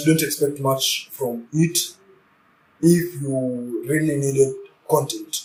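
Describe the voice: A man speaks with a fairly high pitch and a somewhat breathy voice. His pace is fairly slow.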